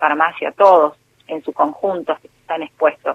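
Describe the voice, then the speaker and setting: A woman's fairly low voice, an ordinary speaking voice, with fairly even intonation at a fairly slow pace. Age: 40s. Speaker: intensive care nurse. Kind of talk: interview.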